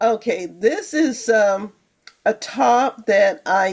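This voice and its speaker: A woman with an American accent talks in a fairly high pitch with lively intonation. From Pennsylvania, Johnstown. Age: 70s. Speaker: fashion vlogger. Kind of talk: casual chat.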